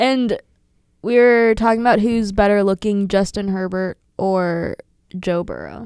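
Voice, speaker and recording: A woman's ordinary speaking voice, medium in pitch with an American accent, fairly slow pace and fairly even intonation. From US, western Pennsylvania (Pittsburgh area). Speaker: college student podcast co-host. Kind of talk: casual chat.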